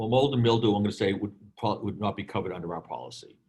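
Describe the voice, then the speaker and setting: Somewhat breathy, a man with a Boston accent talks at a fairly quick pace, his fairly low voice keeping fairly even intonation. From Boston, US. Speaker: insurance program provider, storage operator. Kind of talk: webinar presentation Q&A.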